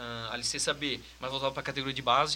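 A man's voice, fairly high-pitched for a man. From Santa Catarina, Brazil (Brusque). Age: 20s. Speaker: football performance analyst. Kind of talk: casual chat.

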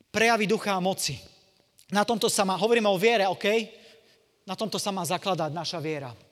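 In a very clean recording with a silent background, a man with a high pitch talks at a very fast pace in an animated tone, with ordinary pitch variation and long, frequent pauses. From eastern Slovakia, Košice. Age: 40s. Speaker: evangelist preacher. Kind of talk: sermon; testimony.

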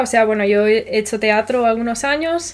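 This is a normal speaking voice. Its pitch varies in an ordinary way, and the pace is moderate. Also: woman. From Spain. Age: 20s. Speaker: podcast host. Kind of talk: casual chat.

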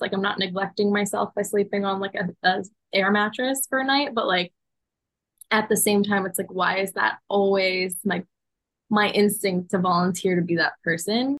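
Here is an ordinary speaking voice. Its intonation stays fairly even at a moderate pace. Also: woman. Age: 20s. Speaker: podcast co-host. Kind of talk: casual chat.

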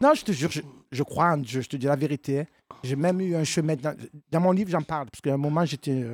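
A woman's very deep, low-pitched voice at a fairly quick pace, with ordinary pitch variation and a dry, close sound without echo. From Marseille, southern France. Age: 50s. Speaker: comedian. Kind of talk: casual chat. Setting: stage with audience.

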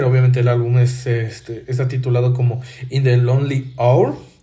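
Audible room echo surrounds a man's medium-pitched voice. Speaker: podcast host. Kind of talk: solo monologue commentary. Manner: halting, many fillers and repetitions.

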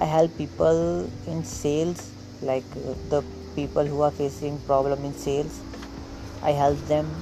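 A man's fairly high voice with lively intonation, at a fairly slow pace, over noticeable background noise. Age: 20s. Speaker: affiliate marketer. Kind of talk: casual monologue. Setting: outdoors on a veranda at home. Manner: halting.

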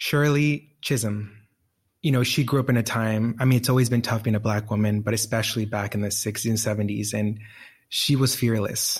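In a Spanish accent, a man sounds somewhat breathy with fairly even intonation on a very clean recording with a silent background. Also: medium pitch for a man. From Colombia. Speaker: nonprofit executive director. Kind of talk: interview. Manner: casual.

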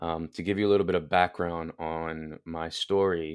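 A man's very deep, low voice with fairly even intonation at a moderate pace, on a very clean recording with a silent background. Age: 20s. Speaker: online health coach. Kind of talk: interview conversation.

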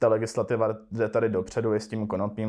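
This man's voice sits fairly low in pitch. The background is quiet. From Czech Silesia (Český Těšín). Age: 20s. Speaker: cannabis entrepreneur. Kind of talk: casual interview.

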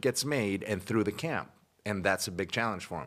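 A man with an unremarkable speaking voice speaks at a moderate pace and a fairly low pitch, his intonation lively, on a very clean recording with a silent background. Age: 30s. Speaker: podcast guest, MMA fan. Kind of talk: casual chat.

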